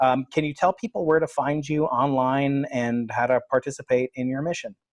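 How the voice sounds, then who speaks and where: Using a normal speaking voice, a man with an American accent talks at a moderate pace with a fairly high pitch and fairly even intonation. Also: dry, close sound with no echo. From US East Coast. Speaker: podcast host, physics professor. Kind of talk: interview.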